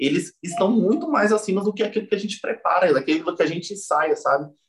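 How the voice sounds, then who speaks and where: Male speech pitched high, swinging very widely in pitch. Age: 30s. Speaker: gospel musician. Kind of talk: casual interview.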